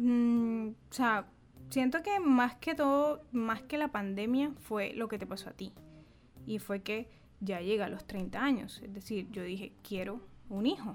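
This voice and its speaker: In a plain, everyday voice, a woman speaks fairly slowly at a fairly high pitch with ordinary pitch variation. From Caribbean Colombia, Bolívar. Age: 30s. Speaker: podcast co-host, journalist. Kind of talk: casual chat.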